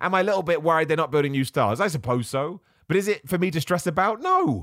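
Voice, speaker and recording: With a British accent, a man talks at a high pitch through very wide pitch swings. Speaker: wrestling podcast host. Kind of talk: casual solo podcast commentary. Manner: informal, chatty.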